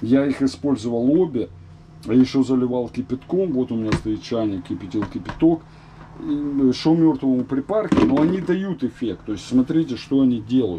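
A male speaker talks at a moderate speed, his intonation lively, with noticeable noise behind him. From former Soviet Union. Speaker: vlogger; home DIY vlogger. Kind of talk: casual tutorial vlog; tutorial. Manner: casual, filler-heavy. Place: kitchen. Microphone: phone near.

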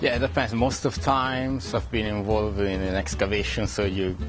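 Clear background music under a man's moderate pace. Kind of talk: interview answer. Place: hall.

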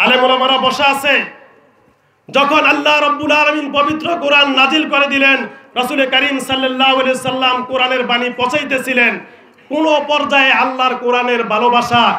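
A man with an extremely high pitch speaks in a monotone, flat intonation at very even loudness. Audible room echo is heard. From Bangladesh. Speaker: Islamic preacher. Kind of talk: sermon. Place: stage. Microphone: handheld.

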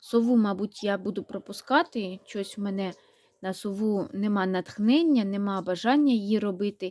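A woman with a normal speaking voice talks at medium pitch and a moderate pace with ordinary pitch variation, in a dry, close sound with no echo. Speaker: knitting and crafts vlogger. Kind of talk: casual vlog, showing handmade toys.

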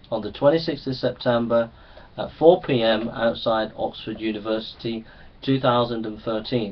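At a moderate pace, a man speaks with a normal speaking voice at medium pitch and ordinary pitch variation. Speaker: street preacher. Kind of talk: public challenge video addressed to camera. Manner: earnest, persuasive, repetitive.

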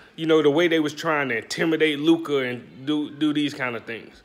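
At a fairly slow pace, a man talks with an American accent. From US South, Alabama (Birmingham/Bessemer). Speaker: sports commentator YouTuber. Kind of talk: casual sports commentary vlog. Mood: mocking, opinionated. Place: kitchen. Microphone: phone near.

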